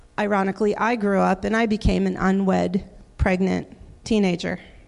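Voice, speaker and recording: The speaker has an American accent, heard against a quiet background. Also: woman. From Wisconsin, US Midwest. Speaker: minister and children's teacher. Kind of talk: sermon. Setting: church.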